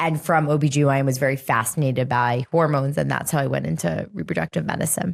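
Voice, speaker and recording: A woman with a very deep, low pitch and vocal fry talks at a very fast pace with hardly any pauses and very even loudness. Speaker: fertility doctor. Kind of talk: interview. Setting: in-person interview.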